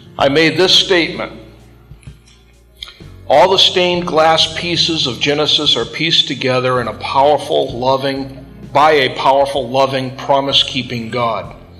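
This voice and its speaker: A man talks fairly slowly while faint music can be heard in the background. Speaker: Bible class teacher. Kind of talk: lecture. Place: classroom.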